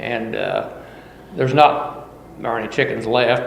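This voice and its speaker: A man's medium-pitched voice with an American accent, fairly even intonation, audible room echo and noticeable background noise. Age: 60s. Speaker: farmer. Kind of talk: oral history interview.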